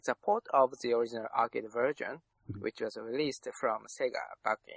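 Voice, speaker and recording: A man with a Japanese accent shows big swings in loudness, recorded with a dry, close sound and no echo. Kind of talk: casual chat.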